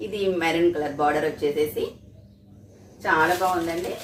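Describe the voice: A woman speaks at a moderate pace in a low voice. Room echo is audible.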